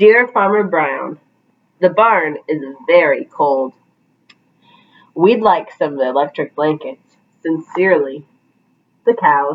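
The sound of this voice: Doing a put-on character voice, a woman speaks slowly in a low pitch, with lively intonation and long, frequent pauses.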